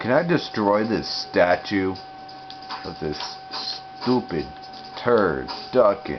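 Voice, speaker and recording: Over music in the background, a man talks quietly at a very slow pace with long, frequent pauses. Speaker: gaming youtuber. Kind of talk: gameplay commentary.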